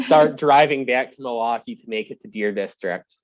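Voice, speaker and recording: With a strong Wisconsin accent, a man talks fairly quickly at medium pitch, his intonation lively and his loudness swinging widely. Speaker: sports reporter, podcast guest.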